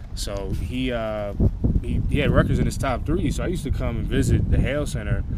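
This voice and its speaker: A man with an American accent talks at a fairly quick pace, his pitch making very wide swings. Audible room echo and noticeable background noise surround his voice. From New Jersey. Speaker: college football player. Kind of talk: interview. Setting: outdoors at practice.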